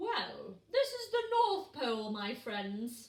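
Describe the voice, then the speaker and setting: Using a put-on character voice, a woman speaks very slowly at a high pitch with very wide pitch swings. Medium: read story. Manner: warm, encouraging.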